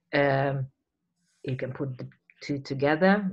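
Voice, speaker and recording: A fairly slow pace against a quiet background. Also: woman. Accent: Hungarian. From Hungary. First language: Hungarian. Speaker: poetry reading host and curator. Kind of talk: event introduction and hosting. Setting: video call. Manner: halting, many fillers. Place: home room. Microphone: webcam.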